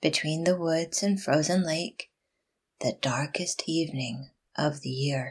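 Soft-spoken and somewhat breathy, a woman talks fairly slowly in a very deep, low pitch with a soothing, gentle tone. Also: ordinary pitch variation. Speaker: podcast host. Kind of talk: poem reading aloud, gentle and reflective. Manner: soft, gentle; slow, unhurried, soothing.

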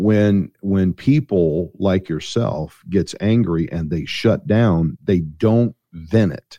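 A man with an American accent speaks at a very slow pace in a very deep, low pitch with ordinary pitch variation and a dark, mellow tone, the sound dry and close with no echo. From Missouri, US. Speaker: pastor and author. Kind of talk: interview.

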